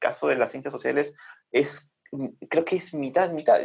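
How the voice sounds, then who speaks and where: A man is speaking. The background is quiet. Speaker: critical-thinking video channel creator and guest. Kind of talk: casual interview answer. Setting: video call (Zoom), recorded remotely. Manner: calm, thoughtful, measured.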